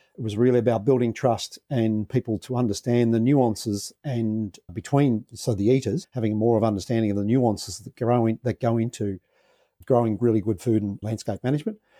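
Over a quiet background with a dry, close sound and no echo, a man with an Australian accent talks at a fairly quick pace, his dark, mellow tone carrying fairly even intonation. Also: medium pitch for a man. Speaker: social entrepreneur, former dairy farmer. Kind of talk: interview. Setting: podcast interview.

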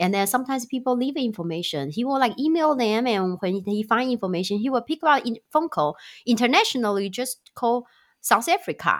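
A woman with a fairly high pitch talks at a fairly quick pace with very wide pitch swings on a very clean recording with a silent background. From Taiwan. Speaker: startup founder and CEO. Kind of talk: casual interview.

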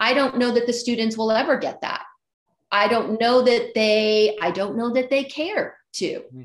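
Here a woman with an American accent speaks at a high pitch with ordinary pitch variation. Her loudness swings widely. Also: moderate pace. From Phoenix, Arizona, US. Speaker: yoga teacher trainer. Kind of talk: casual interview. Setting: video call.

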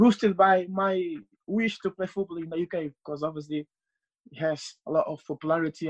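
A man speaks with a Portuguese accent at a high pitch. The sound is dry and close, with no echo. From Portugal, Cape Verdean family. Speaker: football translator. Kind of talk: casual interview. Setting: remote call.

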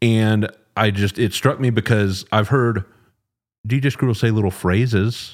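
In a very clean recording with a silent background, a man with an American accent uses a normal speaking voice, a fairly low pitch, fairly even intonation and very even loudness at a fairly slow pace. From Texas, Dallas. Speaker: podcast host. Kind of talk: interview.

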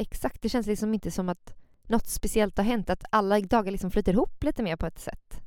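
An animated tone at a fairly quick pace, with ordinary pitch variation. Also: woman, medium pitch for a woman. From Gothenburg, Sweden. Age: 20s. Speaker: podcast co-host, yoga instructor. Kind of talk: casual chat.

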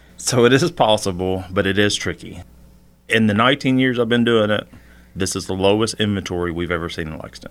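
A man's fairly low, plain, everyday voice, a plain, everyday voice with ordinary pitch variation and a fairly quick pace. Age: 40s. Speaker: realtor. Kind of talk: casual interview. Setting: studio.

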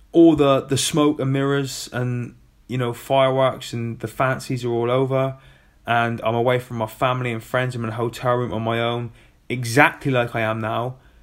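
With a British accent, a man speaks at a moderate pace and medium pitch in a monotone, flat intonation. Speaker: former Royal Marine, adaptive athlete podcaster. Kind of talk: solo podcast monologue. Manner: casual, chatty.

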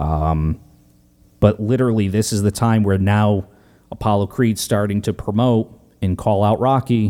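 In a dark, mellow tone, a man with a fairly low pitch talks at a moderate pace, keeping his loudness very even and his intonation fairly even. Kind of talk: casual chat. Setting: home, turned off AC.

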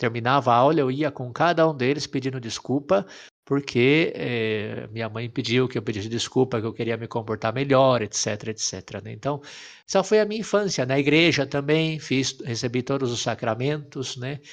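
This man has an unremarkable speaking voice at a medium pitch with ordinary pitch variation. He talks at a moderate pace against a quiet background. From Brazil, interior of São Paulo state. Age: 30s. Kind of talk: casual chat, personal vocation story.

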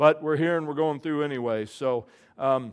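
On a very clean recording with a silent background, a man has an ordinary speaking voice, a moderate pace and ordinary pitch variation. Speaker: pastor. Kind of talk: sermon. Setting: church.

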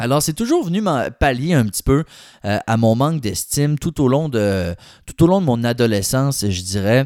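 A man with a Quebec accent talks at a moderate pace and medium pitch, with lively intonation. The recording is very clean, and the background is silent. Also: dry, close sound with no echo. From Quebec City. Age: 20s. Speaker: podcast host. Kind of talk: personal testimony. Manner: casual, colloquial.

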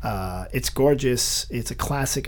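A man talks in an animated tone against noticeable background noise. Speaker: podcast host. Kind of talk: casual interview chat. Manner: animated, joking.

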